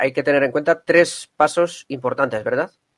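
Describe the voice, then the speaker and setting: A man with a fairly high pitch speaks at a moderate pace in an ordinary speaking voice, recorded dry and close with no echo. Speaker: radio host. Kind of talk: radio program hosting. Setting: remote via internet. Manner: formal.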